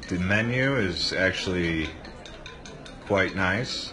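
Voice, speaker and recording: Clear music plays behind a man whose very deep, low voice moves at a very slow pace with ordinary pitch variation. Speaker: tourist vlogger. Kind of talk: casual vlog chat. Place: tunnel cave. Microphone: phone near.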